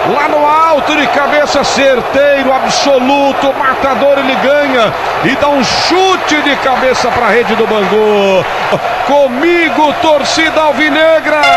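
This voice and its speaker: A man talks fairly slowly in an extremely high voice, with ordinary pitch variation and very even loudness. Crowd noise can be heard in the background. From Brazil. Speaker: radio sports announcer. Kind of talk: live radio football match commentary. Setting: radio broadcast from stadium.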